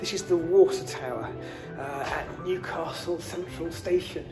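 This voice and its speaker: With clear music in the background, a man talks at a fairly slow pace. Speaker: TV presenter. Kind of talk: casual vlog chat. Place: empty room. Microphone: phone near.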